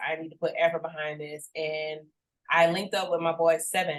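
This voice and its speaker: With an American accent, a woman talks at a moderate pace. Her pitch sits fairly low. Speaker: musician. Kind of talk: interview. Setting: podcast.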